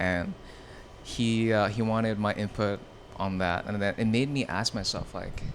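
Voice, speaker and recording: With fairly even intonation and a fairly low pitch, a man talks at a moderate pace. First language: Vietnamese. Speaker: streetwear showroom owner. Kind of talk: podcast interview. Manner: casual, filler-heavy.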